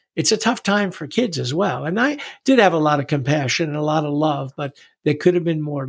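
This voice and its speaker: A man with an American accent talks at a moderate pace in a fairly high voice with ordinary pitch variation; an unremarkable speaking voice. The recording is very clean, with a silent background. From New York City. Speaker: retired wrestling coach. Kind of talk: testimony.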